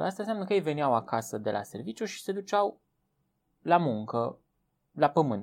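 A man's fairly high voice makes very wide pitch swings in a very clean recording with a silent background. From Romania, Transylvania (village of Viștea). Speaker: biologist, teacher and author. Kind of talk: interview.

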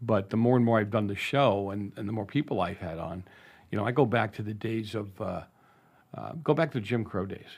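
Talking fairly quickly, a man with an American accent has a fairly low pitch and an unremarkable speaking voice. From Boston, Massachusetts (North End). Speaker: radio host and school board member. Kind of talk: interview.

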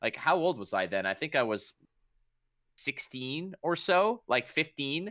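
A man talks at a fairly slow pace with vocal fry. His pitch is fairly high and swings very widely. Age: 30s. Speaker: game commentator and podcast host. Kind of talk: casual chat.

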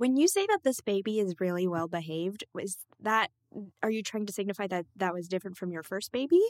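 A woman speaks in an ordinary speaking voice at medium pitch with ordinary pitch variation. The sound is dry and close with no echo. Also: fairly quick pace. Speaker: podcast co-host. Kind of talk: casual chat. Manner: giggly.

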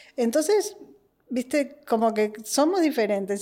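A woman speaks at a moderate pace with a dark, mellow tone. Her pitch swings very widely. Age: 40s. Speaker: podcast guest, host's sister. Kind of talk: casual chat. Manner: animated.

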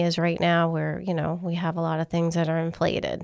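Speaking at a fairly quick pace, a woman with a fairly low pitch talks with a New England accent. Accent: Northern (New England). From Massachusetts. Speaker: mortgage underwriting team lead. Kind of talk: casual interview.

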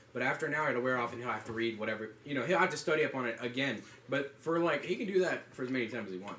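Over noticeable background noise, a man with medium pitch talks at a very fast pace with ordinary pitch variation. He leaves hardly any pauses. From US South, North Carolina. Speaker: college student podcaster. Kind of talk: casual chat. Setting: dorm room.

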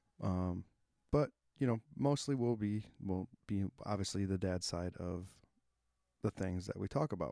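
A man's fairly low, dark and mellow voice, dry and close with no echo, at a moderate pace with ordinary pitch variation and long, frequent pauses. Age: 30s. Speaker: podcast host. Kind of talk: casual monologue. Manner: hesitant, many fillers.

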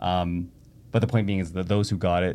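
A man talks with a Canadian accent at a fairly quick pace. His pitch is very deep and low. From Canada (Toronto area). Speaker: tech entrepreneur. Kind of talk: casual interview conversation.

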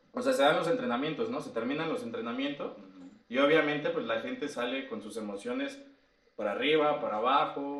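A man speaks at a fairly quick pace with a fairly high pitch and very wide pitch swings. His loudness rises and falls sharply, and the room echo is audible. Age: 30s. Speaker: life coach. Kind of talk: casual chat.

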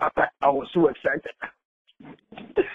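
A man is speaking. His intonation is lively. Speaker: preacher. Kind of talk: sermon, preacher in full flow, fervent and rallying. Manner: animated, emphatic, repetitive building cadence with frequent hallelujahs; urgent, exhorting the congregation.

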